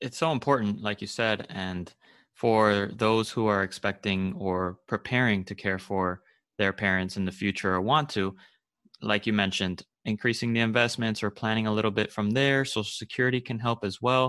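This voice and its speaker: The voice is a plain, everyday voice with fairly even intonation. The background is quiet. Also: man, fairly low pitch for a man, moderate pace. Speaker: podcast host. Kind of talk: podcast interview.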